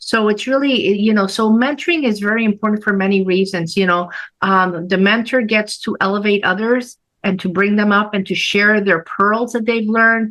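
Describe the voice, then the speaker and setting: Against a quiet background, a woman with a Spanish accent speaks at a moderate pace with very even loudness. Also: medium pitch for a woman, ordinary pitch variation. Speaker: nurse practitioner. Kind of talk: interview.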